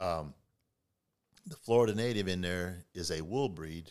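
A man with an American accent speaks with ordinary pitch variation on a very clean recording with a silent background. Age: 60s. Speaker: farmer. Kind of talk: casual interview. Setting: in-person recording.

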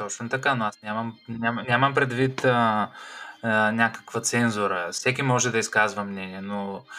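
A man with an unremarkable speaking voice talks at a moderate pace, his fairly low pitch carried by fairly even intonation. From Bulgaria. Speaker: podcast host. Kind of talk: casual chat. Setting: video call.

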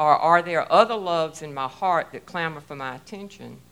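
A woman speaks loudly at a fairly low pitch with ordinary pitch variation. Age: 60s. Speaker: church member giving testimony. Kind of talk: testimony. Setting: church.

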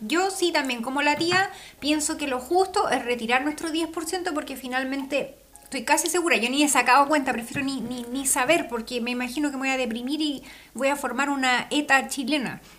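Music plays in the background as a woman speaks at a moderate pace in a high pitch. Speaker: podcast co-host. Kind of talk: casual chat.

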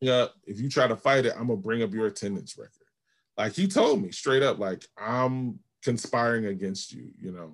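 With an American accent, a man uses lively intonation in a normal speaking voice. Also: medium pitch for a man, moderate pace. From Georgia and Albany, New York. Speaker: pastor / seminary graduate. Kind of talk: interview.

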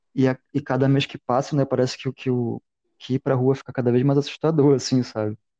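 A man talks fairly quickly in a medium-pitched, dark, mellow voice with flat, monotone intonation, and the sound is dry and close with no echo. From Belém, Brazil. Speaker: podcast co-host. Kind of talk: casual chat.

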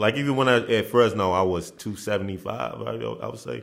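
A man at fairly low pitch and fairly quick pace, with vocal fry. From Dallas, Texas (born in Nigeria, moved at seven or eight). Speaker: former college basketball player. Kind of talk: casual interview.

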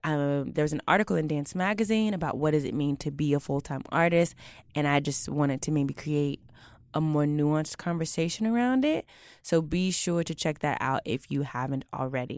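Spoken with an American accent and ordinary pitch variation, the clip is a very clean recording over a silent background. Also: woman, very deep, low pitch for a woman, moderate pace. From Houston, Texas. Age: 20s. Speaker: podcast host. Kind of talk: casual chat, interview.

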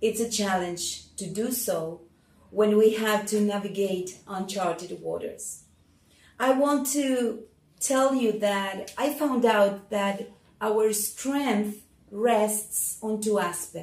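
A woman speaks very slowly at a fairly high pitch, with ordinary pitch variation. Audible room echo surrounds her voice. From Argentina. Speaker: church leader giving testimony. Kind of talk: testimony.

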